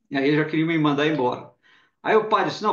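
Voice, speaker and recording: This man has a plain, everyday voice, pitched fairly high, with lively intonation. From Brazil, Belo Horizonte (Minas Gerais). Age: 60s. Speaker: journalist and spiritist speaker. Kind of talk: interview testimony. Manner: conversational, some repetition and false starts.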